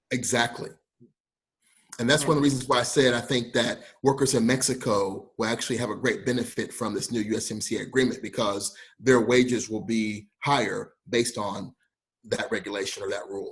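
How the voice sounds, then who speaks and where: This man's voice is somewhat breathy and medium in pitch. He talks fairly quickly. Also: ordinary pitch variation. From Kentucky, Lexington. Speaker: trade consultant. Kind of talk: interview. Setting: video call from home.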